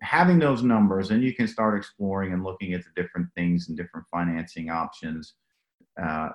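This man talks at a fairly quick pace in a very deep, low pitch, his intonation lively. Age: 50s. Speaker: pipe replacement company executive. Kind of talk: interview.

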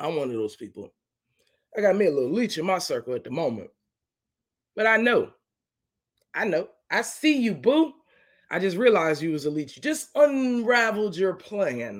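Speaking at a high pitch, a man makes big pitch swings and leaves long, frequent pauses. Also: moderate pace.

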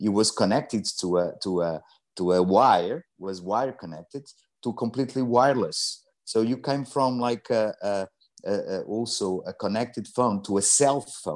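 A man with a Portuguese accent against a quiet background. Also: medium pitch for a man, ordinary pitch variation, moderate pace. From Portugal. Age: 50s. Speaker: energy entrepreneur. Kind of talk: interview. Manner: halting.

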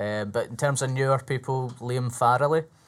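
On a very clean recording with a silent background, a man with a Scottish accent talks at a fairly quick pace with fairly even intonation. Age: 20s. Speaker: stand-up comedian. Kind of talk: casual chat.

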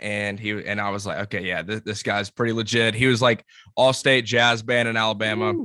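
A man at a fairly quick pace, in monotone, flat intonation. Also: medium pitch for a man. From Columbus, Georgia. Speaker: band singer. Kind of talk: casual interview. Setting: video call.

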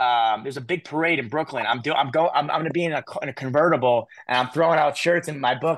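The background is quiet as a man talks at a very fast pace. His pitch is fairly high. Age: 30s. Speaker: youth motivational speaker. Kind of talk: interview.

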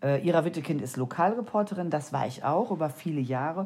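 Her fairly low voice swings very widely in pitch as this woman speaks. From Germany, East Westphalia. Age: 50s. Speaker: crime novelist. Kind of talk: solo podcast answering listener questions. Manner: unscripted, spontaneous.

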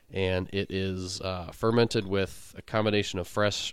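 An ordinary speaking voice with fairly even intonation, on a very clean recording against a silent background. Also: man. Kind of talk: casual chat. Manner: relaxed, laid-back, chuckling.

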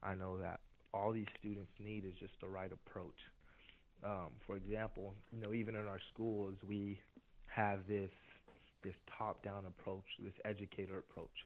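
At a moderate pace, a man speaks in a flat monotone with long, frequent pauses. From Haiti, raised in US from age six. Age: 20s. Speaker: student leader, anti-bullying advocate. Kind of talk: interview. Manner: halting, many fillers.

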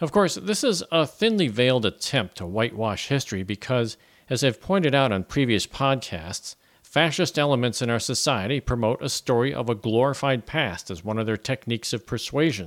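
On a very clean recording with a silent background and a dry, close sound with no echo, a man of medium pitch talks at a fairly quick pace with lively intonation. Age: 60s. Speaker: podcast host. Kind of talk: scripted narration. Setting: home.

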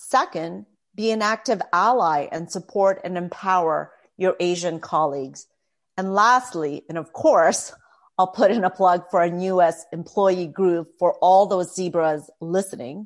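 In a Canadian accent, a woman speaks fairly slowly. Her medium-pitched voice shows ordinary pitch variation. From Canada, Toronto. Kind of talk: interview.

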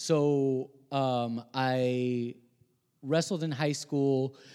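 Recorded very cleanly over a silent background, a man speaks with fairly even intonation. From Puerto Rico, Guaynabo. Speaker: chef and YouTuber. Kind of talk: casual chat.

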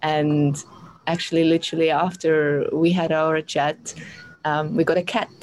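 Against noticeable background noise, a woman with a very deep, low pitch speaks fairly slowly in a monotone, flat intonation at very even loudness. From Europe. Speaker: astrologer. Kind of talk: interview.

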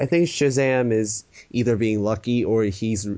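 Speaking at a fairly slow pace, a man uses an ordinary speaking voice with ordinary pitch variation. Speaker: podcast co-host and e-fed commentator. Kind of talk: casual chat. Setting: online call. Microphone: unstable connection.

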